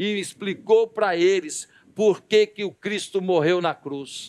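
With a high pitch, a man speaks at a very slow pace. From Brazil. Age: 50s. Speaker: pastor. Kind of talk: sermon. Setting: church service. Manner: animated. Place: church. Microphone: headset.

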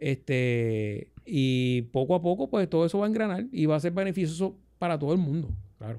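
A man's fairly high, dark and mellow voice at a moderate pace, swinging very widely in pitch, over a quiet background. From Puerto Rico, Ponce; Puerto Rico. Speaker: radio host. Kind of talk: casual chat. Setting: studio. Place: studio. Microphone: studio mic.

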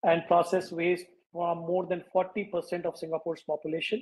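A man with a high pitch speaks at a fairly slow pace in a monotone, flat intonation. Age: 50s. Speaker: waste management entrepreneur; guest. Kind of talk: interview. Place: home room. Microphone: video call.

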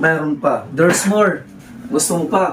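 A man's high-pitched voice comes through with music in the background. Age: 30s. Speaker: vlogger. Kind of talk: casual vlog chat. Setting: old family house.

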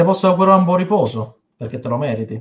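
A somewhat breathy man, ordinary pitch variation, quiet background. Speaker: poet. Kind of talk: poetry reading. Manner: emotional, heartfelt. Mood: tender, mournful tribute. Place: home room. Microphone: webcam.

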